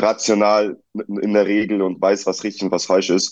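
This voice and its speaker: This man's tone is dark and mellow, and he speaks at a moderate pace. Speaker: reality TV contestant. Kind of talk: interview.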